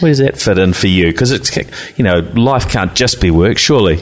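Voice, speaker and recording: A man talks with a New Zealand accent, his pitch swinging very widely. Noticeable background noise runs underneath. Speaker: tech podcast host and IT business owner. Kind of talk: casual interview. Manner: hesitant, many fillers.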